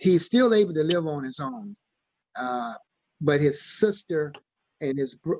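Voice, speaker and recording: A man speaks at a moderate pace in a Southern US accent. His pitch is fairly high and his intonation lively. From Mississippi, US South. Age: 70s. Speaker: church member asking questions. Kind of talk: community Q&A discussion. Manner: halting.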